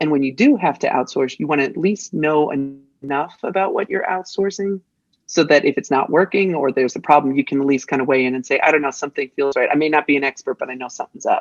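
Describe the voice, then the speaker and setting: A woman's very deep, low voice at a very fast pace, with hardly any pauses. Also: ordinary pitch variation. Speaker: digital marketing entrepreneur. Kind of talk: podcast interview.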